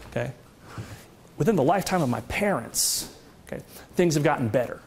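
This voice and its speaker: There is noticeable background noise. A man talks at a very fast pace and a fairly high pitch. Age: 40s. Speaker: economist. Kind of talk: lecture. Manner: animated.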